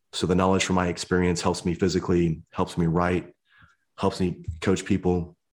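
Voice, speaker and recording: Speaking at a moderate pace with a Midwestern American accent, a man with a very deep, low voice keeps a monotone, flat intonation and very even loudness over a very clean recording with a silent background. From US Midwest. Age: 50s. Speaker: motivational speaker and army veteran. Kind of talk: interview.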